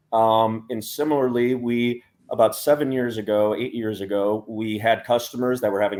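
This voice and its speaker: A man with an American accent speaks at a moderate pace, his fairly low voice keeping a fairly even intonation. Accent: American, stands out among Europeans. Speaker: startup CEO. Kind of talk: panel discussion.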